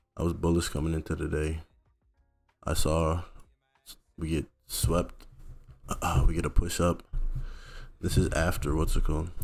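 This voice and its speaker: A man's very deep, low voice over background music, monotone and flat, broken by long, frequent pauses. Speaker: futures trader vlogger. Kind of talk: casual trading recap vlog. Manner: casual, slangy.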